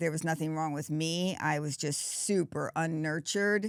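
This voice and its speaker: A woman talks at a moderate pace in a normal speaking voice, fairly low in pitch with ordinary variation. The recording is very clean with a silent background and a dry, close sound with no echo. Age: 60s. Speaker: podcast host. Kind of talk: casual chat.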